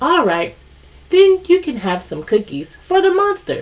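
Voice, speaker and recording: A female-sounding, put-on character voice with an extremely high pitch moves at a moderate pace. Its tone is warm. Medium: read story. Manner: warm, patient.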